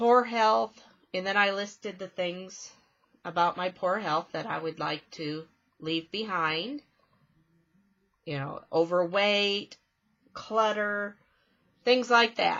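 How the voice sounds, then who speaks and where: A woman at a medium pitch and a very slow pace, with long, frequent pauses. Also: ordinary pitch variation. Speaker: spiritual vlogger. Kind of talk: casual vlog monologue. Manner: relaxed, chatty.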